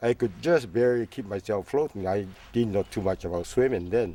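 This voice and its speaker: On a very clean recording with a silent background, a man speaks at a moderate pace in a dark, mellow tone. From Canada, British Columbia coast (Steveston). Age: 80s+. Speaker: retired fisherman, oral history interviewee. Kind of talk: oral history interview. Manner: halting, many fillers.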